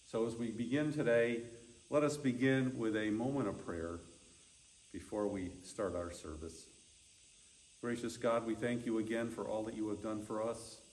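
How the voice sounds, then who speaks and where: A man speaks at a moderate pace in a fairly low pitch. His pitch variation is ordinary. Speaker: pastor leading a service. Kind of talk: church service instructions and prayer. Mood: calm, solemn. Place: church. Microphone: camera far.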